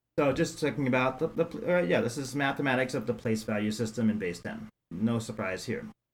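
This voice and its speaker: In an ordinary speaking voice, a man talks at a fairly quick pace with hardly any pauses, his pitch medium and his intonation lively. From New York City. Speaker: math professor. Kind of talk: casual interview.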